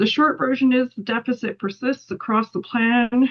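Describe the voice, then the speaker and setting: A somewhat breathy woman talks at a fairly quick pace with ordinary pitch variation. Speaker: policy analyst. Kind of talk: webinar presentation. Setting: online webinar. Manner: fast.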